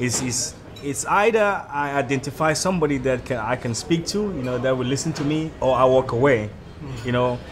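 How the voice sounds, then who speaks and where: Backed by music and audible room echo, a man with a medium-pitched voice talks at a fairly quick pace with ordinary pitch variation. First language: not English. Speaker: immigrant in South Africa. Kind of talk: street interview discussion.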